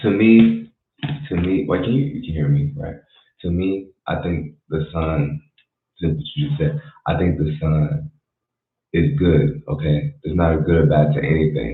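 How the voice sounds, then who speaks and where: Quiet, fairly slow speech with long, frequent pauses and ordinary pitch variation. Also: man, very deep, low pitch for a man. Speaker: livestreamer. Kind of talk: casual livestream talk. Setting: home at night, livestream. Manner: quiet, keeping voice down.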